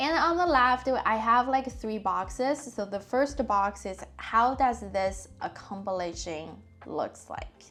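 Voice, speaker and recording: A woman with a non-native accent, fairly high-pitched and lively in intonation, at a very slow pace over music in the background. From China. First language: not English. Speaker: personal finance vlogger. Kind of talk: casual vlog talk. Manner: halting, many fillers.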